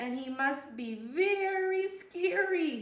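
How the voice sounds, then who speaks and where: A woman's high, put-on character voice at a very slow pace, with slight echo. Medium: read story. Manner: stammering.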